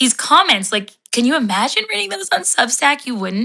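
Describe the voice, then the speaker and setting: The delivery is animated, with a bright, sharp tone. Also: woman. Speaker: writer and content creator. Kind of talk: live stream talk. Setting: live video. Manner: fast.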